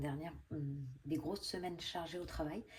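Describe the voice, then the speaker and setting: A woman speaks softly at a very deep, low pitch. Her pace is moderate and her intonation fairly even. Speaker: budgeting vlogger. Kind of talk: casual vlog. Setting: at home. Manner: soft-spoken; hesitant, many fillers.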